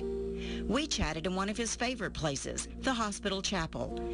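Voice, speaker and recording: Over music in the background, the speaker keeps to a moderate pace. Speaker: TV news reporter. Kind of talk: TV news report.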